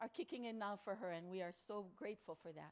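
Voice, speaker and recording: A woman with a Hawaiian accent speaks at a fairly quick pace. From Hawaii, Kauai. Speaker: motivational speaker. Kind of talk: talk to an audience. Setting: outdoor tent with audience.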